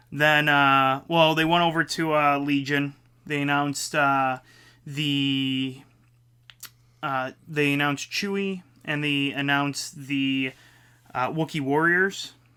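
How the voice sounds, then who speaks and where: Long, frequent pauses interrupt speech delivered very slowly. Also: very clean recording, silent background. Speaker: board game podcast co-host. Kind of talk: casual chat.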